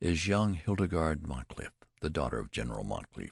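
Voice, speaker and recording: A man does a put-on character voice, pitched very deep and low with very wide pitch swings. He goes at a fairly quick pace, and the sound is dry and close with no echo. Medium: read story. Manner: matter-of-fact, self-satisfied.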